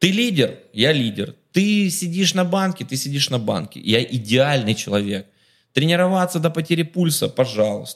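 A man talks at a moderate pace in an animated tone, his fairly high pitch making very wide swings. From Ukraine, Kharkiv. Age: 30s. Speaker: businessman. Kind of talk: casual chat.

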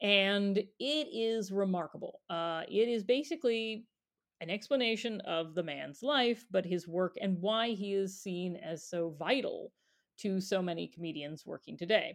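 Against a quiet background, a woman talks in a normal speaking voice at a medium pitch. Her pace is fairly slow and her intonation lively. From US, moved to New York then Chicago. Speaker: podcast co-host, children's librarian. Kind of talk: casual chat. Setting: remote recording, not in same room.

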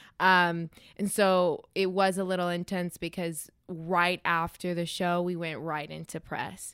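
A woman with an American accent speaks at a fairly low pitch and a fairly slow pace with hardly any pauses. Her intonation is monotone and flat, on a very clean recording with a silent background. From US, Denver area, Colorado. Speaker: actress. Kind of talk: casual chat.

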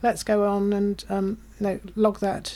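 In a British accent, a woman talks at a medium pitch with a dark, mellow tone. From UK. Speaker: conservation charity staffer. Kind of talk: casual interview chat.

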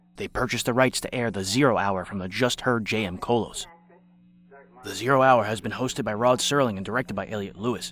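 An unremarkable speaking voice at a fairly quick pace, with fairly even intonation. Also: man, medium pitch for a man. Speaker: podcast narrator. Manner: formal, measured, crisp announcer cadence.

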